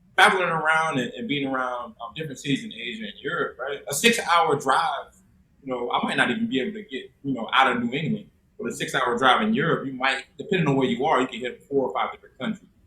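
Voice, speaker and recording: The speech moves at a very fast pace with very wide pitch swings and big swings in loudness. Noticeable background noise sits behind it. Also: man, fairly high pitch for a man. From US South, South Carolina. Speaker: teacher and coach. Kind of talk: casual chat. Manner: halting, many fillers.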